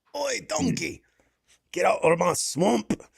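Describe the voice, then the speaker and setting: Putting on a raspy character voice in a Scottish accent, a man speaks at a fairly slow pace. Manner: gruff, irritated.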